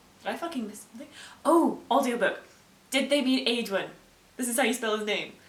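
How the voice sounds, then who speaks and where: Speaking at a fairly quick pace, a woman has a high pitch. Audible room echo and noticeable background noise accompany her. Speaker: booktuber. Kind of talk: casual reaction video. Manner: animated.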